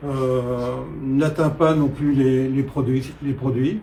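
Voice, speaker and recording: A man talks at a very slow pace with a fairly high pitch and a dark, mellow tone. His voice is somewhat breathy, with audible room echo. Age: 70s. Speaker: political candidate. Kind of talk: interview. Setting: at his home. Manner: hesitant, many filler sounds.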